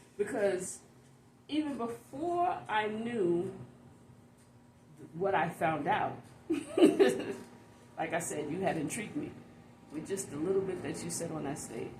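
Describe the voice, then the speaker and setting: A woman speaks at a fairly slow pace with long, frequent pauses, very wide pitch swings and big swings in loudness, amid audible room echo and noticeable background noise. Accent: American. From New York. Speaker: interviewer. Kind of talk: interview.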